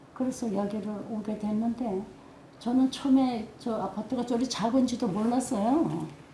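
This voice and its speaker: Through noticeable background noise, a woman with a fairly high pitch speaks at a moderate pace with fairly even intonation. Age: old. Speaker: oral history interviewee. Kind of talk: oral history interview. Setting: seniors' center room.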